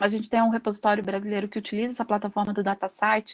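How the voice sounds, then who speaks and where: A woman talks at a very fast pace with monotone, flat intonation. The background is quiet. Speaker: workshop presenter, researcher; presenter. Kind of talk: lecture. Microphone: video call.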